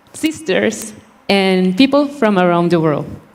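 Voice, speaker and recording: A woman speaks at a fairly slow pace with lively intonation over noticeable background noise. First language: Spanish. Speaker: beauty pageant contestant. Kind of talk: prepared speech.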